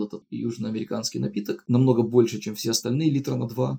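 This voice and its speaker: With vocal fry and a dark, mellow tone, a man speaks at a very fast pace in a medium pitch. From outside Russia. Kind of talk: casual storytelling.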